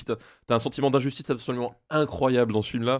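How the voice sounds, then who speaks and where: On a very clean recording with a silent background, a man with an ordinary speaking voice and medium pitch talks at a fairly quick pace with ordinary pitch variation. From Alsace, France. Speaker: primary school teacher. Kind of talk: casual chat.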